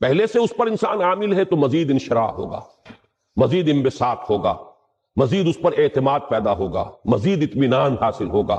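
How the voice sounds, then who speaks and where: Somewhat breathy, a man talks in a fairly high voice whose pitch swings very widely. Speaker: Islamic scholar giving a Quran lecture. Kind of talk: religious lecture (bayan).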